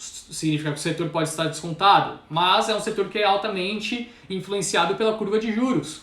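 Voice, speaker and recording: The voice shows ordinary pitch variation and hardly any pauses over noticeable background noise. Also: man, high pitch for a man, fairly quick pace. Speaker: stock market commentator. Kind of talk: live stream market commentary. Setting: live stream. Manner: fast.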